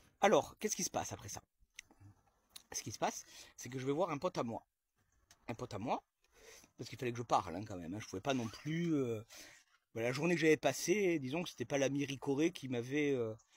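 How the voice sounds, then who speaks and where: On a very clean recording with a silent background and a dry, close sound with no echo, a man of medium pitch talks at a fairly quick pace, somewhat breathy, with lively intonation, big swings in loudness, and long, frequent pauses. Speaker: comedian telling a sketch story. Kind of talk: storytelling monologue to camera. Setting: outdoors in own garden. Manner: fast; animated, sarcastic exclamations.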